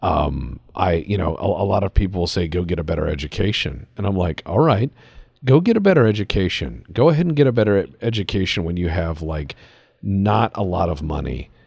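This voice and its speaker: This man's very deep, low voice carries vocal fry, lively intonation and an animated tone at a fairly quick pace. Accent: American. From US Midwest, Cleveland. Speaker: podcast host. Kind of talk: casual chat.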